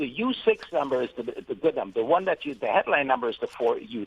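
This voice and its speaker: A man talks in an unremarkable speaking voice at a fairly quick pace with lively intonation. The sound is dry and close, with no echo. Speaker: guest, market and economy commentator. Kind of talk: radio interview answer.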